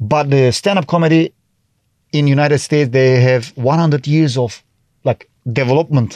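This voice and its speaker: A man's fairly high voice with a Turkish accent, at a moderate pace with ordinary pitch variation, dry and close with no echo, over a quiet background. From Turkey. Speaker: TV host and comedian. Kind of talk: casual interview. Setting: studio. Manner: halting.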